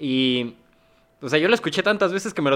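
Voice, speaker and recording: A man's fairly high voice races along at a very fast pace, its intonation lively. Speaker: literary magazine editor and poet. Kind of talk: casual interview.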